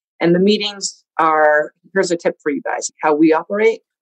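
Using a plain, everyday voice, a woman with a fairly low pitch speaks at a moderate pace with ordinary pitch variation, in a dry, close sound with no echo. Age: 40s. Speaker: tech startup founder and CEO, former radio DJ. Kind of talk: interview.

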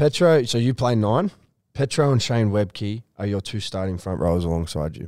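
With an Australian accent, a man speaks in a fairly low voice at a moderate pace with lively intonation. The sound is dry and close, with no echo. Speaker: podcast host. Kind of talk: casual interview.

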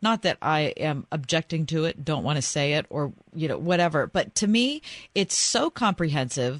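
A woman with a plain, everyday voice talks at a moderate pace in a fairly low pitch, the sound dry and close with no echo against a quiet background. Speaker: radio co-host. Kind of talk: casual chat. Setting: studio.

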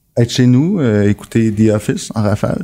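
A man talks very slowly, his pitch fairly low. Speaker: podcast co-host. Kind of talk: casual chat.

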